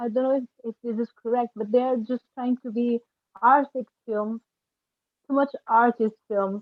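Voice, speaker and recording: A woman speaks at a moderate pace with a non-native accent. Her high-pitched voice has fairly even intonation. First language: not English. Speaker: film director. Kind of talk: panel discussion. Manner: halting.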